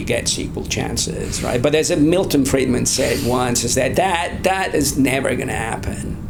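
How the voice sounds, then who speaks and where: A man speaks at a moderate pace in an Italian accent, his pitch swinging very widely. There is audible room echo and noticeable background noise. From Italy. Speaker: asset manager and former professor. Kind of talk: interview.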